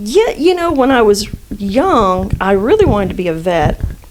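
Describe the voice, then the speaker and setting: A woman with a slight Southern US accent, medium pitch, lively intonation and a fairly slow pace. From South Florida, Cuban family. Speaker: acupuncturist and physician. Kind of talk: podcast interview. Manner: halting, many fillers.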